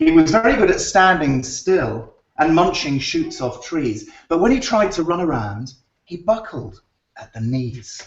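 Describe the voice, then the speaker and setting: In a British accent, a man with a high voice speaks at a fairly slow pace, with very wide pitch swings and big swings in loudness. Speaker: children's book author. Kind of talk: reading aloud to children; casual chat. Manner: animated.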